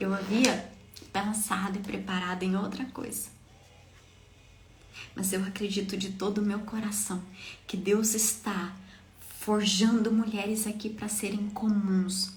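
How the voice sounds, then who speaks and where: A woman at a fairly slow pace and medium pitch, monotone with flat intonation, with long, frequent pauses, audible room echo and music in the background. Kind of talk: devotional sermon. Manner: passionate.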